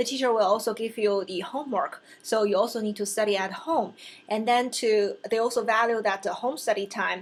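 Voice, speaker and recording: Speaking with a Chinese accent, a woman keeps a fairly quick pace. Her pitch is fairly high and her intonation fairly even. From China. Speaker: vlogger and real estate license student. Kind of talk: casual vlog talk to camera. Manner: halting, with fillers and self-corrections.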